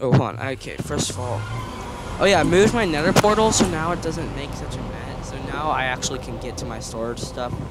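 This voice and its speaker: The voice moves at a fairly quick pace with very wide pitch swings and big swings in loudness over noticeable background noise. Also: man, fairly high pitch for a man. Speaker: gamer playing with friends. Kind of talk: casual gaming chat.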